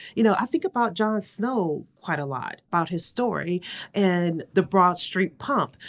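A woman with an American accent speaks at a fairly slow pace and medium pitch, with lively intonation. It is a normal speaking voice, heard in a very clean recording with a silent background. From US Midwest, Cleveland, Ohio. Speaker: public health executive. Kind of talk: interview.

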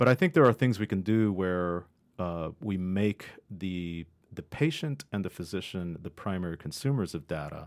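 In a very clean recording with a silent background, a man with an American accent speaks at a very deep, low pitch. His pace is moderate and his pitch variation ordinary. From Ohio, US. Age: 50s. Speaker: statistics professor. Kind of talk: interview. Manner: halting.

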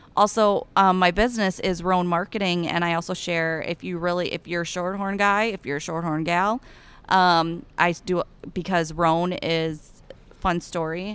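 In an Iowan accent, a woman speaks at a moderate pace with a fairly low pitch. The recording is very clean, with a silent background. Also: fairly even intonation. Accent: Iowan, Upper Midwest. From Eastern Iowa. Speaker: cattle rancher and ambassador. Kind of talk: casual interview chat. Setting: convention booth.

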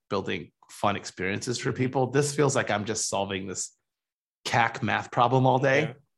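Against a quiet background, a man with an American accent speaks at a medium pitch with ordinary pitch variation in an unremarkable speaking voice. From Michigan. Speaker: venture capital investor. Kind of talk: interview.

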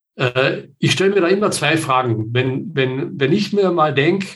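Delivered at a very slow pace, the voice is somewhat breathy with lively intonation. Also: man. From southern Austria. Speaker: project management consultant. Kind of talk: interview. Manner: many filler sounds.

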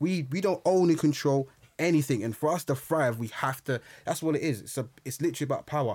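A fairly high-pitched man in a London accent, at a very fast pace with ordinary pitch variation. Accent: London, multicultural London English. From London, Brixton. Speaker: historian and public speaker. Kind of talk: casual chat.

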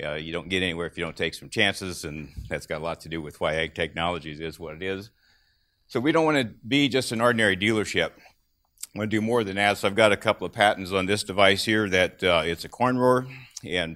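A man with an American accent speaks at a very deep, low pitch in a bright, sharp tone. His pace is fairly quick, his pitch variation ordinary, and the recording very clean with a silent background. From US Midwest, southern Illinois. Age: 60s. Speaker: farm equipment dealer. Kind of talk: conference talk. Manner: halting.

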